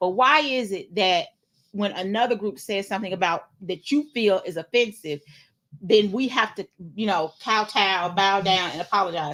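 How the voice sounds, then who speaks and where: Her bright, sharp tone carries lively intonation as a woman speaks with an American accent. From US South, Nashville, Tennessee. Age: 40s. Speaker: podcast co-host. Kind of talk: casual chat.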